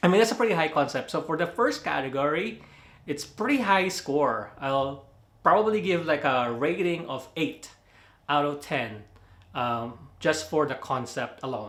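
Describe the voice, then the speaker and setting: A man talks at a moderate pace with a Filipino accent. His fairly high pitch moves in very wide swings. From Philippines. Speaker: movie reviewer. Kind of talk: casual video review. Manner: casual, hesitant with fillers.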